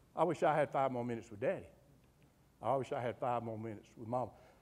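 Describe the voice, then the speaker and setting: An animated man talks at a very fast pace with a Southern US accent. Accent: Southern US (Georgia). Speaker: humorist and undertaker, after-dinner speaker. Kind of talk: humorous motivational talk. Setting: club luncheon with live audience. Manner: animated, folksy.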